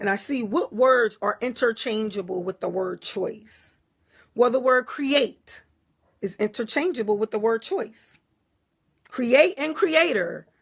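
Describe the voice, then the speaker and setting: Lively intonation marks this woman's speech, delivered in an American accent. She talks at a fairly high pitch and a fairly slow pace. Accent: Philadelphia accent, noticed by viewers. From US Northeast, Philadelphia. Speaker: spiritual teacher, livestreamer. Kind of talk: live stream talk reading viewer comments. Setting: Facebook Live. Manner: casual, conversational.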